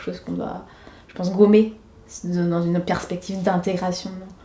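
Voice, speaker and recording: Over noticeable background noise and audible room echo, a woman speaks at a moderate pace in a medium pitch with monotone, flat intonation. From Senegal (Dakar). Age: 20s. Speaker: schoolteacher. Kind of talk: documentary interview. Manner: hesitant, many fillers.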